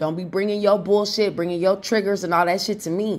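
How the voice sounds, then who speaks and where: A woman speaks in an angry tone at a moderate pace and medium pitch. Her pitch varies in an ordinary way, and the recording is very clean with a silent background. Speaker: tarot reader. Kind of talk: angry rant. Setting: video channel. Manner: angry, defiant, profane; emphatic, confrontational.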